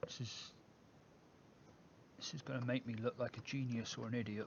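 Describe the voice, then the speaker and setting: Mumbling speech with an English accent. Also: man. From England. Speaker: e-liquid mixing streamer. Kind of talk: live stream tutorial. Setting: live stream. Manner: casual.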